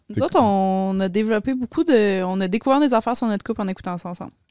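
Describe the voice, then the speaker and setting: In a normal speaking voice of medium pitch and ordinary pitch variation, a woman is heard on a very clean recording with a silent background and a dry, close sound with no echo. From Quebec, Laval. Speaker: podcaster. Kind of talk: casual chat.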